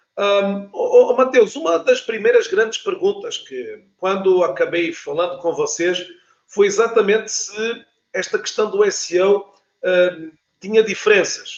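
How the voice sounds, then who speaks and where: A man speaks with a European Portuguese accent. His pace is fairly slow. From Portugal. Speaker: LinkedIn specialist, talk show host. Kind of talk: online interview.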